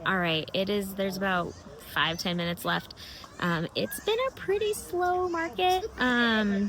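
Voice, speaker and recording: Speech in an American accent comes at a fairly slow pace with very even loudness. Noticeable background noise runs underneath. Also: woman. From Massachusetts, US. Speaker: crochet vlogger and market vendor. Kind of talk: casual vlog. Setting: market booth. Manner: casual, hesitant with fillers.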